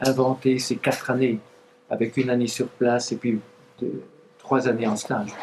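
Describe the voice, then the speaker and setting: A man speaks at a moderate pace in a medium pitch, his intonation flat and monotone. Long pauses come often, over noticeable background noise. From eastern France, Doubs (Montbéliard area). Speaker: pastor. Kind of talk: conference talk. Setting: church weekend gathering with audience. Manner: halting, with fillers and restarts.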